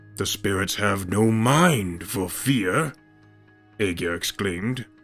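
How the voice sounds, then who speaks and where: A man does a put-on character voice at a fairly slow pace. Faint music plays in the background. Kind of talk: fantasy myth storytelling. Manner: theatrical, measured storytelling.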